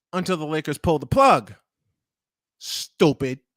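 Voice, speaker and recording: In a New York accent, a man talks at a moderate pace in an animated tone, on a very clean recording with a silent background. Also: dry, close sound with no echo. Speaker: morning show host. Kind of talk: casual chat.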